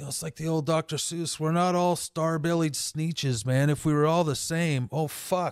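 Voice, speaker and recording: A plain, everyday voice from a man with an American accent, fairly high in pitch, at a moderate pace with hardly any pauses and fairly even intonation, in a dry, close sound with no echo. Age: 50s. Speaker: tattoo artist. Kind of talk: casual chat.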